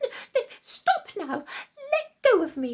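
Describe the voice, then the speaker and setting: A put-on character voice, squeaky and extremely high, moves through very wide pitch swings at a fairly slow pace. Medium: read story.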